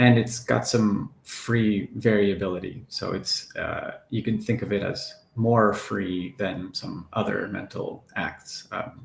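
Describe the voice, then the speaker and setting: The delivery is somewhat breathy. Intonation stays fairly even. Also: man. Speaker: philosophy professor. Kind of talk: academic lecture. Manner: hesitant, many fillers.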